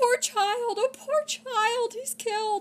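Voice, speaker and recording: Woman shouting in a put-on character voice at an extremely high pitch and a very slow pace. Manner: screaming in alarm.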